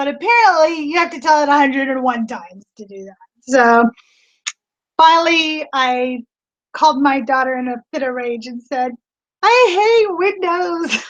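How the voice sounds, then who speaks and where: A woman's animated, high-pitched voice at a moderate pace, with very wide pitch swings and big swings in loudness. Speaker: online reseller. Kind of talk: casual livestream chat. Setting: live video stream from home studio. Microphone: new laptop setup.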